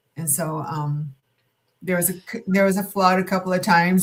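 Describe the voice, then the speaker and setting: A medium-pitched woman's voice comes across as somewhat breathy. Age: 70s. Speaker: podcast guest, retired helpline worker. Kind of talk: casual chat. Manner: halting.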